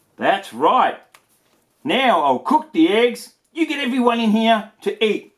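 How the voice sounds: A put-on character voice at a slow pace, with big pitch swings. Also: man, high pitch for a man.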